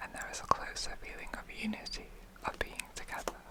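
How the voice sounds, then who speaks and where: Someone is whispering. There is noticeable background noise. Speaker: ASMR creator reading a wartime health manual. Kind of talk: vintage-style broadcast reading for sleep, ASMR role play. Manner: whispered, soft, relaxing.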